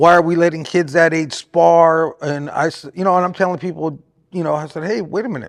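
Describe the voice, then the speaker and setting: This man has an unremarkable speaking voice with an American accent. His pitch is fairly high and his intonation fairly even. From Southern California. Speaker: boxing trainer and manager. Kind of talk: casual interview.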